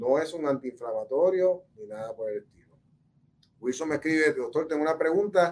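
Using lively intonation and a fairly high pitch, a man speaks at a moderate pace with big swings in loudness. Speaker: orthopedic surgeon. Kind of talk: health talk answering viewer questions. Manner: hesitant, many fillers and repetitions.

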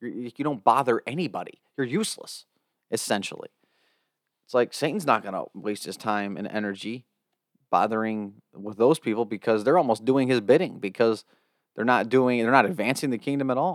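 On a very clean recording with a silent background and a dry, close sound with no echo, a man with an American accent speaks fairly quickly at a medium pitch with ordinary pitch variation. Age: 20s. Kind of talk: devotional reflection.

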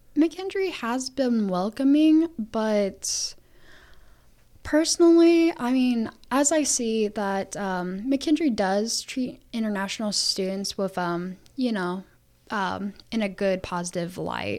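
Very slowly, a woman with an American accent speaks in a dark, mellow tone at a fairly high pitch, her pitch swinging very widely, on a very clean recording with a silent background. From US Midwest, Illinois (adopted from Ukraine as toddler). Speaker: university student. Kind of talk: interview. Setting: studio. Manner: halting, many fillers.

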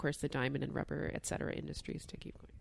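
The recording of a woman's voice is very clean, with a silent background. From Newfoundland, Canada. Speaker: law professor and podcast host. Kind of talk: scripted narration. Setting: living room.

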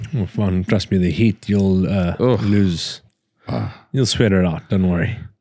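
With a Scottish accent, a man talks at a fairly slow pace in a very deep, low voice with ordinary pitch variation. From Scotland. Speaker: hunting guide. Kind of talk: casual chat.

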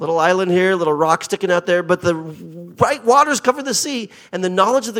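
A man with a Pacific Northwest accent talks at a fairly quick pace in a high voice. His tone is animated and his intonation lively. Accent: American, Pacific Northwest. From US Pacific Northwest (Portland, Oregon). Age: 50s. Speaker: visiting pastor. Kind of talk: sermon. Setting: church with congregation, handheld mic. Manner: animated, humorous.

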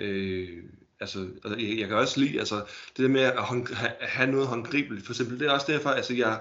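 A man talks at a moderate pace in a medium pitch. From Denmark, Holbæk (Zealand). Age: 30s. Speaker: collector. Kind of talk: casual interview. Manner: halting, many fillers and repetitions.

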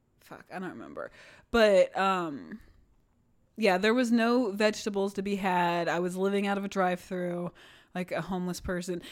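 A woman has a normal speaking voice at medium pitch with ordinary pitch variation. Her pace is moderate, and her loudness swings widely. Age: 30s. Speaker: podcast co-host. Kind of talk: casual chat.

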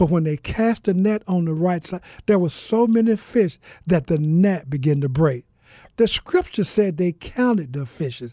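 A man with a Southern US accent speaks at a moderate pace in a high pitch, his dark, mellow tone carried by lively intonation on a very clean recording with a silent background and a dry, close sound with no echo. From US South (Mississippi). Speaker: pastor and author. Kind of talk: interview testimony.

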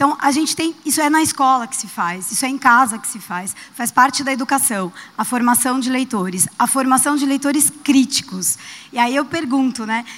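Noticeable background noise behind high female speech at a moderate tempo, its pitch varying in an ordinary way. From Brazil, São Paulo. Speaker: audience member. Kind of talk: audience question.

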